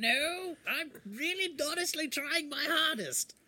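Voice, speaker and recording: Moving at a fairly slow pace, the speaker uses a high-pitched, put-on character voice. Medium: actual play. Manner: prim, chipper, a little pompous.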